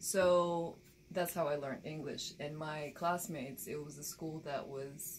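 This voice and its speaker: Speaking at a fairly slow pace with a very deep, low pitch, a woman keeps fairly even intonation but shows big swings in loudness, with audible room echo. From Bulgaria, rural village; moved to Baltimore at 13. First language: Bulgarian. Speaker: documentary filmmaker and photojournalist. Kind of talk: interview.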